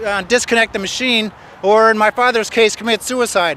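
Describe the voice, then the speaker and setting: A man speaks at a high pitch in a raised, projected voice. His intonation is monotone and flat. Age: 60s. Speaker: peace activist speaking at an event. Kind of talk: open-mic speech.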